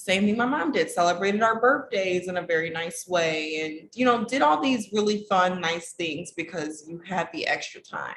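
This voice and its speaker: A woman speaks in an ordinary speaking voice at a medium pitch. Her intonation is lively and her pace moderate. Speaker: relationship coach. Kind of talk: casual vlog talk to camera.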